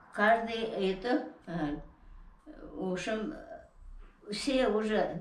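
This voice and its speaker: Speaking very slowly with long, frequent pauses, a woman uses a fairly high pitch and lively intonation. Noticeable background noise runs underneath. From Tatar, from Tatarstan. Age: 80s+. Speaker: rural villager, former collective farm worker. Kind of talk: interview answer. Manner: hesitant, halting.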